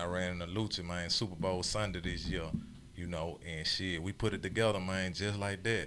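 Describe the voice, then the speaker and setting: Audible room echo surrounds a man whose very deep, low voice has a bright, sharp tone, delivered at a moderate pace with fairly even intonation. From US South, Chattanooga, Tennessee. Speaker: record label owner. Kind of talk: radio interview.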